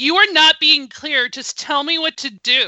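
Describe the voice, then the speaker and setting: A woman is doing a put-on character voice. Her pitch sits high. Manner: firm, impatient.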